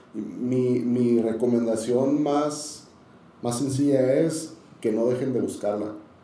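Ordinary pitch variation from a man, amid noticeable background noise and audible room echo. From Tijuana, Mexico. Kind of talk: casual interview, testimony.

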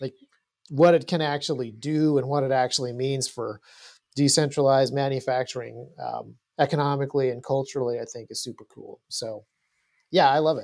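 A man with an unremarkable speaking voice talks at a fairly quick pace and fairly high pitch, with fairly even intonation and big swings in loudness, in a very clean recording with a silent background. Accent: American. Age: 40s. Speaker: firearms gear designer. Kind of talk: casual chat.

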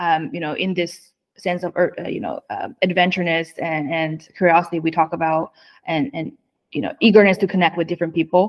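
Moderate pace and ordinary pitch variation, in a Chinese accent. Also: woman, fairly low pitch for a woman. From northeast China. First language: Mandarin Chinese. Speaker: autonomous driving executive. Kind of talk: interview conversation. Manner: halting.

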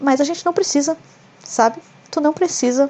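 Speaking at a fairly quick pace, a woman has a dark, mellow tone. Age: 20s. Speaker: podcaster. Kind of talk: casual solo monologue.

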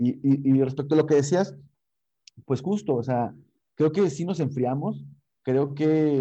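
Speaking at a fairly slow pace, this man has a fairly high pitch and a dark, mellow tone. His pitch variation is ordinary. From Mexico, Tampico. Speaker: rock musician. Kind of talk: interview. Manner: animated.

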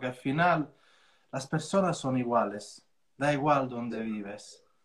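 Somewhat breathy, with an Italian accent. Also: man. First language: Italian (speaking Spanish). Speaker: real estate coach and trainer. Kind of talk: casual interview on an Instagram live.

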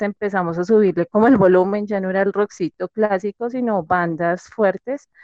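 A woman at medium pitch with fairly even intonation. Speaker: podcast guest sharing personal story. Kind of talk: testimony. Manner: hesitant, many fillers.

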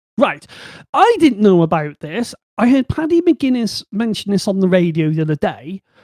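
A man speaks in a high, animated voice with very wide pitch swings. His moderate pace comes through in a dry, close sound with no echo. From Bristol, England. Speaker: podcast host. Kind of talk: casual chat. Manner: animated, joking.

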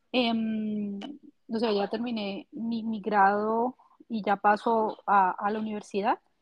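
At a very slow pace, a woman talks in a fairly high voice. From Colombia, Valle del Cauca (Pradera). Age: 30s. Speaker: systems engineer. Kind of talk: casual chat.

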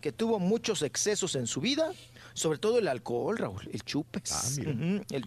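Vocal fry runs through the man's speech. His pitch swings very widely. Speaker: radio co-host. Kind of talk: casual chat.

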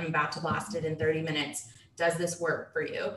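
With noticeable background noise and audible room echo, a woman speaks in an American accent. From Dallas, Texas. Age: 20s. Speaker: real estate investor. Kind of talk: casual interview.

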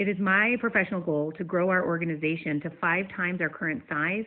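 A woman's plain, everyday voice, fairly low in pitch, at a fairly quick pace with ordinary pitch variation. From US Northeast, western New York. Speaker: nonprofit leader and former teacher. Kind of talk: prepared short talk, pre-recorded segment.

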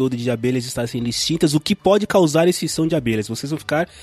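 Recorded with a dry, close sound and no echo, a man speaks with lively intonation at a fairly high pitch. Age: 40s. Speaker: podcaster. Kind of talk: casual chat.

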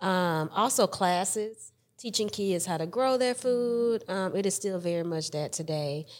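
On a very clean recording with a silent background, a woman with a Southern US accent speaks at medium pitch, fairly slowly and with hardly any pauses, her pitch varying in an ordinary way. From Alabama (Mobile). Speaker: podcast host. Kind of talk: interview.

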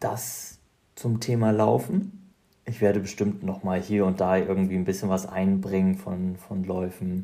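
A dark, mellow tone at a fairly slow pace, with fairly even intonation. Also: man, very deep, low pitch for a man. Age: 30s. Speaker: podcast host, ultrarunner. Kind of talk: casual monologue. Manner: hesitant, many fillers.

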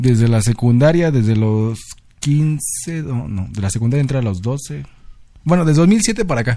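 With a Mexico City accent, a man speaks fairly slowly at a medium pitch, his tone dark and mellow and his intonation lively. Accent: Mexican Spanish (Mexico City). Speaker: podcast co-host. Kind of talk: casual chat.

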